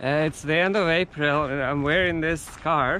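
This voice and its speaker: He speaks with a Russian accent. The man's pace is fairly slow. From Siberia, Russia. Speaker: vlogger, PhD student. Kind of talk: travel vlog talking to camera. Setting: outdoors. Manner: halting.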